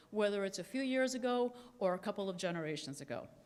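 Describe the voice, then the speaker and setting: A woman talks at a fairly quick pace with lively intonation, and the room echo is audible. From Cuba. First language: Spanish. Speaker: energy company executive. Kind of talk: conference keynote speech.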